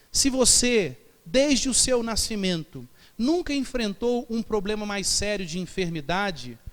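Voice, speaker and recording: In a very clean recording with a silent background, a man speaks at a high pitch and a fairly slow pace with lively intonation. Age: 30s. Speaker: pastor. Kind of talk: sermon. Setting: church.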